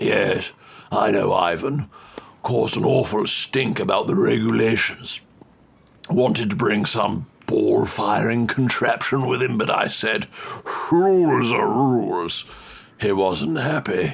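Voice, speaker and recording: A man uses a put-on character voice at a medium pitch, his loudness very even. He talks fairly slowly, with long, frequent pauses. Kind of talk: comic overacting. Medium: audio drama. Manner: plummy, fussy, prone to rambling.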